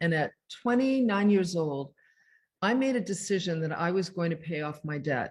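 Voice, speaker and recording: Somewhat breathy and at a moderate pace, a woman speaks with a medium pitch and lively intonation. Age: 60s. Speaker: self-care author. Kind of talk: interview. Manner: casual, conversational.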